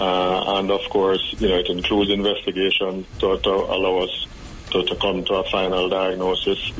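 Over noticeable background noise, a man talks at a moderate pace. His loudness stays very even. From Jamaica. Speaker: psychiatrist. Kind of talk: interview.

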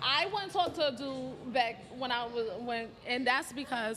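A woman's raised, projected voice with a New York accent, high pitch and ordinary pitch variation, at a moderate pace, with audible room echo and noticeable background noise. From South Bronx, New York. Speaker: podcast host. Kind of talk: casual chat.

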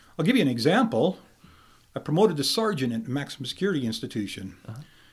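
The man here speaks at a fairly high pitch. The recording is very clean, with a silent background. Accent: American. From Idaho, Camas County. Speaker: prison warden. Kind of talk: interview. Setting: studio. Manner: halting.

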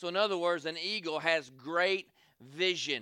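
A man with a Southern US accent speaks at a moderate pace in an animated, bright, sharp tone with a high pitch. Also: very clean recording, silent background. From US South. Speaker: evangelist preacher. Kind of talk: Southern-style revival sermon, call-and-response with congregation. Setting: church service with congregation. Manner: animated, rhythmic preaching with repeated 'say amen' calls.

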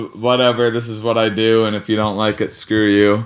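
A man with an American accent. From US Midwest, Wisconsin. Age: 30s. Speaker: stand-up comedian. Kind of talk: interview. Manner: halting, many fillers and restarts.

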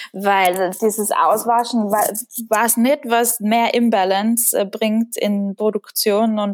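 A woman speaks in a Tyrolean accent. Her pitch is fairly high and her intonation fairly even. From Austria, Tyrol. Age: 20s. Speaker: painter, artist. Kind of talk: interview.

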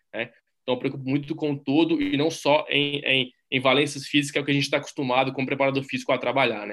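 In a Minas Gerais accent, a man speaks very fast at a fairly high pitch, his tone bright and sharp and his intonation monotone and flat. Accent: Brazilian Portuguese, Minas Gerais. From Brazil, Minas Gerais. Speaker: strength and conditioning coach. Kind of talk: interview.

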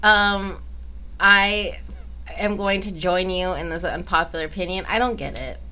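A woman at a fairly slow pace, with big swings in loudness, long and frequent pauses, and audible room echo. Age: 20s. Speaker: podcast co-host and stand-up comedian. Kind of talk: casual chat.

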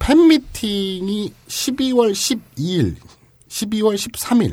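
An animated man with a high-pitched voice. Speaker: podcast host. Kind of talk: casual chat.

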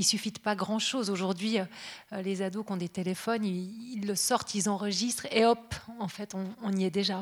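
Using an ordinary speaking voice, a woman talks at a moderate pace and medium pitch, her intonation fairly even. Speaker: radio journalist. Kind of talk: panel talk with host.

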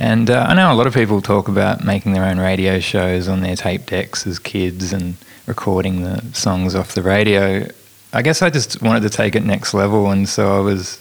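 He speaks with an Australian accent. His pitch is fairly low and his pace moderate. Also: ordinary pitch variation. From Tasmania, Australia. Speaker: author and comedian. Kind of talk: interview. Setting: studio.

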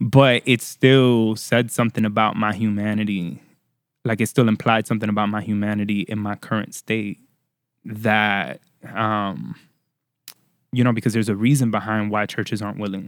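In an unremarkable speaking voice, a man with an American accent speaks at a moderate pace, his pitch fairly low and his intonation fairly even, on a very clean recording with a silent background. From Florida. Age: 30s. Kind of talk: casual chat.

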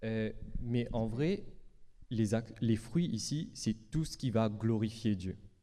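A man with a Mauritian accent, dark and mellow at medium pitch, very slow, with ordinary pitch variation. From Mauritius. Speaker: preacher. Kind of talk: sermon. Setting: church.

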